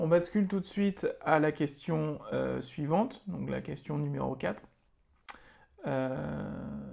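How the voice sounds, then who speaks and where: A man at a very slow pace, long and frequent pauses, quiet background. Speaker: teacher. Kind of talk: tutorial. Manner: hesitant, many filler sounds. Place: home room. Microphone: webcam.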